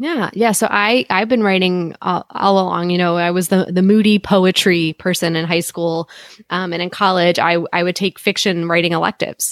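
In an American accent, a woman speaks with a normal speaking voice at a moderate pace. The recording is very clean with a silent background, dry and close with no echo. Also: medium pitch for a woman, fairly even intonation. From United States. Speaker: author and independent publisher. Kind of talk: casual chat.

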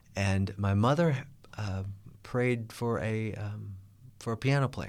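A man with a Midwestern American accent, fairly low in pitch, at a very slow pace with long, frequent pauses and ordinary pitch variation. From US Midwest, Kansas City, Missouri. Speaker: gospel musician and network manager. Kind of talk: interview. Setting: studio.

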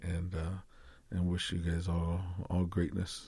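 A man with an American accent talks at a moderate pace, his very deep, low voice dark, mellow and somewhat breathy. The recording is very clean, with a silent background. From Arizona, Tucson (Yaqui tribe). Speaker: classical guitarist and motivational speaker. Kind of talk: interview conversation. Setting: studio.

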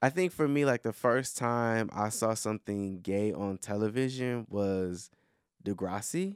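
Recorded very cleanly over a silent background with a dry, close sound and no echo, a man speaks at a fairly slow pace with ordinary pitch variation. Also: medium pitch for a man. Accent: American. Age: 30s. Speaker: podcast host. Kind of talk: casual chat. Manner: loud.

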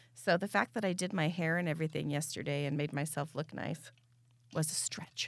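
A woman speaks with a very deep, low pitch at a fairly quick pace. Her intonation stays fairly even. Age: 40s. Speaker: podcast co-host. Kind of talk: casual chat.

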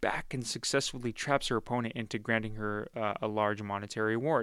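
A man's plain, everyday voice at medium pitch and moderate pace, in a very clean recording with a silent background. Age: 20s. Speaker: podcast host and media reviewer. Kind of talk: casual review monologue. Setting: studio.

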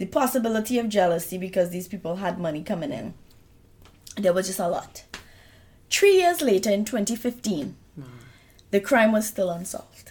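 A woman with a medium pitch and a somewhat breathy voice speaks at a moderate pace, pausing long and often. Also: lively intonation. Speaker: true crime podcast co-host. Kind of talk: casual chat; case narration.

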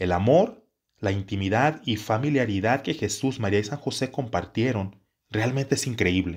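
A man of medium pitch talks at a moderate pace with ordinary pitch variation on a very clean recording with a silent background. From Mexico, Jalisco. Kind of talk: religious teaching talk. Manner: halting, with repetitions.

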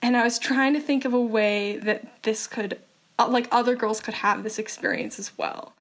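A woman at a moderate pace, fairly high in pitch, an unremarkable speaking voice. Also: fairly even intonation. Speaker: nonprofit founder. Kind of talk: interview.

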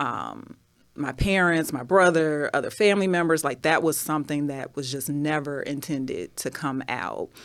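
A woman with an ordinary speaking voice talks at a fairly slow pace in a very clean recording with a silent background. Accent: American. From Chicago. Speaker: writer and bodybuilder. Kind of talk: casual interview.

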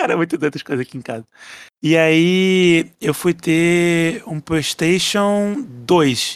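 This man has a plain, everyday voice, pitched fairly high. His pitch variation is ordinary. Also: dry, close sound with no echo. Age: 20s. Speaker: podcast listener. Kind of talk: casual chat.

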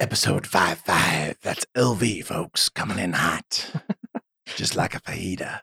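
A man's raspy, put-on character voice, fairly low in pitch, at a fairly slow pace. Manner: creepy.

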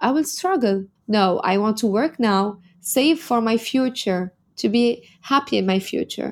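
A woman speaks at a fairly slow pace with a fairly high pitch. Her intonation is lively and her loudness stays very even. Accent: Arabic. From Lebanon. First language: Arabic. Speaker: model and entrepreneur. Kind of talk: interview.

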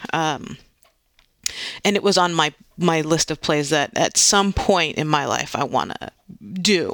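Fairly slow delivery broken by long, frequent pauses. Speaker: theater director. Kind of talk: interview. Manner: halting, repeats words.

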